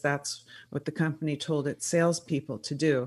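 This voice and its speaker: A woman with a very deep, low pitch speaks at a moderate pace against a quiet background. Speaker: public relations entrepreneur and author. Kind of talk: interview. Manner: uses many fillers.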